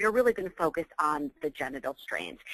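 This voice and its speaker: A woman's bright, sharp voice at a fairly quick pace, with very wide pitch swings and a dry, close sound with no echo. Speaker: physician and professor. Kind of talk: webinar lecture. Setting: online webinar call. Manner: fast.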